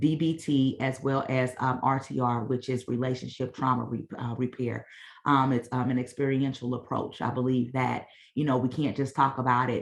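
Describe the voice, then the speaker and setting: Here a woman speaks with a very deep, low pitch. Her intonation is monotone and flat. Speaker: mental wellness organization founder. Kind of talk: presentation at online meeting. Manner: fast.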